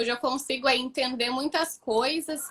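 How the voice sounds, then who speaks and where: A woman projects her voice in a raised, high-pitched tone that sounds bright and sharp. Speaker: student of the project. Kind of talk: live stream interview. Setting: live stream. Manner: fast.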